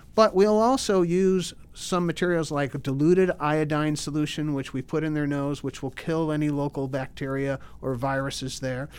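In a very clean recording with a silent background, a man speaks in a plain, everyday voice. His pitch is fairly high, with fairly even intonation at a moderate pace. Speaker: ENT surgeon. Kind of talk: interview.

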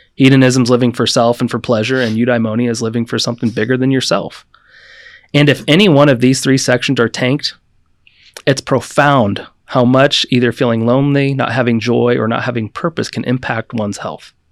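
A man with a normal speaking voice talks at a fairly quick pace in a medium pitch, his intonation fairly even, on a very clean recording with a silent background. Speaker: doctor. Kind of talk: casual chat.

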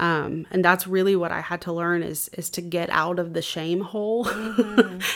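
In a Southern US accent, a woman with fairly low pitch talks at a moderate pace with fairly even intonation and hardly any pauses. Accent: Southern US (Georgia). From US South, Georgia (Cartersville). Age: 20s. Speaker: church member sharing her faith testimony; singer. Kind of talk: testimony.

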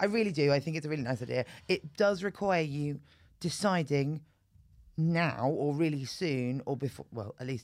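Someone with a British accent speaks at a moderate pace with lively intonation. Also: woman, very deep, low pitch for a woman. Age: 40s. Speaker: comedian. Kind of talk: casual chat.

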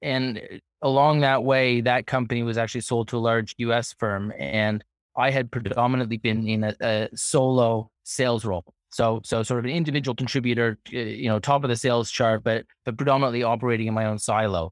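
A man with a normal speaking voice and a medium pitch talks at a fairly quick pace. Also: fairly even intonation, dry, close sound with no echo. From Toronto, Canada. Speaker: company co-founder. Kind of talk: casual interview.

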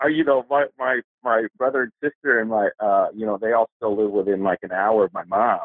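With an American accent, a man uses a normal speaking voice at a medium pitch and moderate pace, with ordinary pitch variation and hardly any pauses. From Los Angeles, US West Coast. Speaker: poet and small press publisher. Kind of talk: casual interview chat.

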